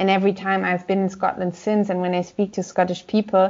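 A woman talks at a fairly quick pace with a German accent. Her intonation is monotone and flat. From Germany, Gelsenkirchen. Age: 30s. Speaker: politician. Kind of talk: interview.

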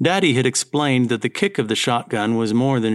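Someone reads in an unforced reading voice.

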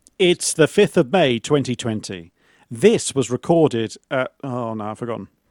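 Recorded dry and close with no echo, a man with an English accent speaks at a medium pitch and moderate pace, with lively intonation and big swings in loudness. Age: 40s. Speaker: podcast co-host, quiz contestant. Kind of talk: casual chat. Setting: video call.

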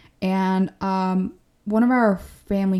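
A woman's dark, mellow voice at a medium pitch, with fairly even intonation, on a very clean recording with a silent background. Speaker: podcast host. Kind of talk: solo monologue podcast episode, casual and encouraging. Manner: casual, conversational, laughs often.

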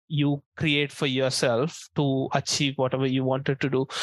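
A man with an Indian accent and a fairly high pitch, in a dry, close sound with no echo and a quiet background. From India, small town. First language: Indian language. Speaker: community manager. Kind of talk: interview. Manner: hesitant, many fillers.

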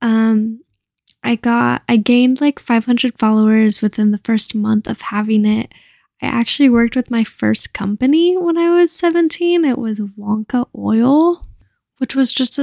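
On a very clean recording with a silent background and a dry, close sound without echo, a woman speaks at a moderate pace in a high voice with a dark, mellow tone and ordinary pitch variation. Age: 20s. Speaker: podcast host and cannabis content creator. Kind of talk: casual solo chat. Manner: rambling, casual.

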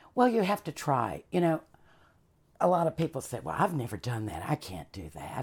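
Speaking in a Southern US accent, a woman uses a very deep, low pitch with vocal fry and very wide pitch swings. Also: very clean recording, silent background. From US South, Charlotte, North Carolina. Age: 50s. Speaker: chef and former performer. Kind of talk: casual interview.

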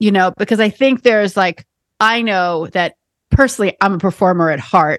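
A woman with an American accent talks at a moderate pace and medium pitch, with ordinary pitch variation. It is a plain, everyday voice, recorded with a dry, close sound and no echo. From New York City. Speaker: podcast host, psychic medium. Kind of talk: casual chat.

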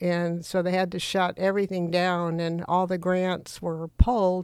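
A woman speaks at a fairly slow pace in a fairly low pitch, her intonation flat and monotone. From Florida (Maitland, near Orlando). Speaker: quilt artist. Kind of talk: casual interview.

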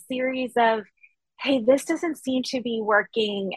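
A woman's high voice with ordinary pitch variation. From Maine. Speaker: author and teacher. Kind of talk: interview.

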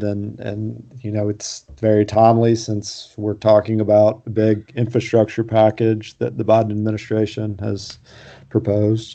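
Spoken at a moderate pace, this is a plain, everyday voice. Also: man. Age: 40s. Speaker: podcast host, journalist. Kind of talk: casual interview chat.

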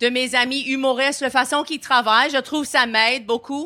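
At a high pitch, a woman uses a raised, projected voice with a bright, sharp tone and monotone, flat intonation. She keeps a moderate pace in a very clean recording with a silent background. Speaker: comedian and podcast host. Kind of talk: interview. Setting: live stage at comedy festival.

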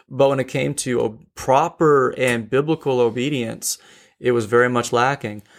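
The recording is very clean, with a silent background. A man with an unremarkable speaking voice talks at a moderate pace, with medium pitch and fairly even intonation. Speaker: podcast co-host discussing theology. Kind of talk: casual theological discussion.

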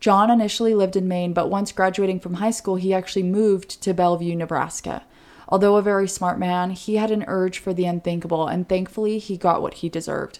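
Very fast and monotone, a woman with an American accent speaks at a medium pitch with flat intonation. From Oregon, US. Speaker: true crime podcast co-host. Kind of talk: casual true crime narration.

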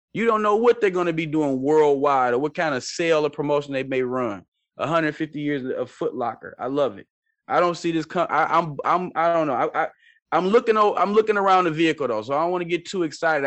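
A man speaks at a fairly quick pace with a fairly high pitch, his intonation lively and his tone animated. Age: 40s. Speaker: stock market podcast host. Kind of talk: casual talk-radio style stock analysis.

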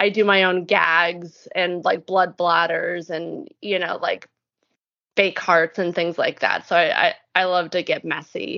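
A woman speaks at a fairly slow pace. Her pitch sits fairly low. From Southern California, Orange County. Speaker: actress and performer. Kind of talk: casual chat. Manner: animated.

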